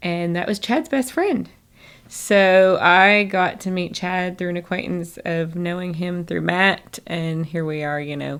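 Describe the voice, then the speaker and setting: In a Southern US accent, a woman speaks at a fairly low pitch and a fairly slow pace with fairly even intonation on a very clean recording with a silent background. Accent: acquired southern. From northern Michigan. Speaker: chiropractor. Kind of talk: interview conversation.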